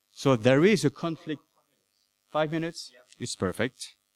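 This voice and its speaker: A man's fairly high voice with a French accent, lively intonation and a moderate pace, in dry, close sound with no echo. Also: long, frequent pauses, big swings in loudness. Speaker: anthropology professor. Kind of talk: conference talk. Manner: halting.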